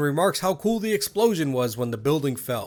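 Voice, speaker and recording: A man's fairly high voice with very wide pitch swings, music in the background. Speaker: gaming video essayist. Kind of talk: documentary-style narration.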